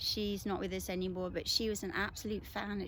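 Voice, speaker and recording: A woman with a British accent talks at a mid-range pitch. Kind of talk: casual talk to camera. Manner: hesitant, conversational.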